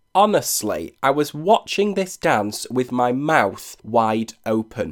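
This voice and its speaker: A man speaks in an animated tone with a British accent. His pitch swings very wide on a very clean recording with a silent background. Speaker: podcast host, dance reviewer. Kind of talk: solo podcast commentary.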